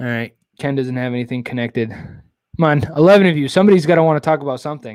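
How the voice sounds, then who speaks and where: A mumbling man at a very fast pace, fairly high in pitch, with ordinary pitch variation. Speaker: live-stream host, kayak bass fisherman. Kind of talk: casual live-stream chat.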